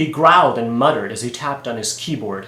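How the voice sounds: This natural reading voice has ordinary pitch variation.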